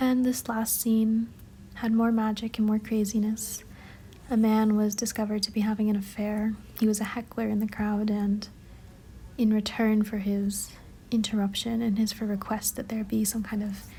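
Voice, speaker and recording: Soft-spoken, the voice moves along at a moderate pace. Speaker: book annotation vlogger. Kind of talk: soft-spoken ASMR-style voiceover. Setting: home, city noise in background.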